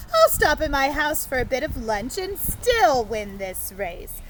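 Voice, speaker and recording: A woman uses a put-on character voice at a fairly slow pace. Clear background noise runs underneath. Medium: read story. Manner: boastful.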